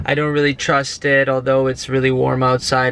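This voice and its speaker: The man's voice has a bright, sharp tone, recorded dry with no echo. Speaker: vlogger. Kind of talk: casual vlog chat. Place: car. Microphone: phone near.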